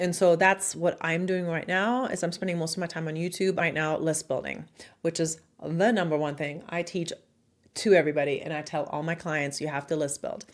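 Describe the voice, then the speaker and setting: A woman with a German accent speaks at a fairly quick pace and fairly low pitch. Her intonation is fairly even, and the recording is very clean with a silent background. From Germany. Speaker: marketing consultant and online educator. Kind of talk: casual talk to camera. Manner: direct.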